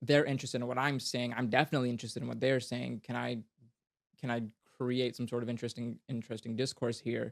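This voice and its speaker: Dry and close with no echo, a man's medium-pitched voice goes by at a very fast pace in a flat monotone. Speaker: fantasy author and podcaster. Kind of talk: casual interview conversation. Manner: halting, frequent self-corrections and fillers.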